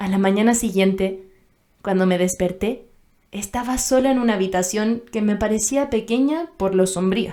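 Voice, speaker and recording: A woman's medium-pitched voice, dark and mellow in tone, at a moderate pace. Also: ordinary pitch variation. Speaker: voice actor, dubbing actress. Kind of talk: audiobook narration, first-person romantic novel.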